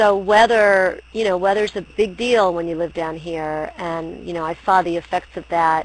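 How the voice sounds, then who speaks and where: A normal speaking voice from a woman with a fairly low pitch and an American accent, fairly even intonation and a moderate pace. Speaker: poet. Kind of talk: interview.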